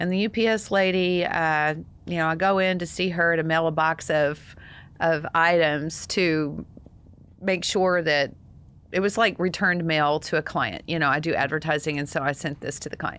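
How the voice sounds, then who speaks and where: Here is a woman with an ordinary speaking voice, fairly low in pitch, with fairly even intonation at a moderate pace. The background is quiet. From Texas. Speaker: single parent advocate, podcast co-host. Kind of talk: casual chat. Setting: studio.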